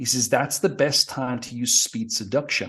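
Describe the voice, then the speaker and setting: With a Geordie accent, a man speaks at medium pitch with ordinary pitch variation against a quiet background. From northeast England (Newcastle area). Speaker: dating coach. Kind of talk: casual chat. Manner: fast.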